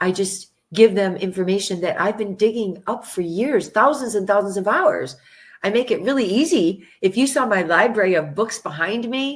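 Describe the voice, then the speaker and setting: In an American accent, a woman with a medium pitch and an unremarkable speaking voice talks at a moderate pace with lively intonation. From United States. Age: 60s. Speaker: vaccine researcher and author. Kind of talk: interview.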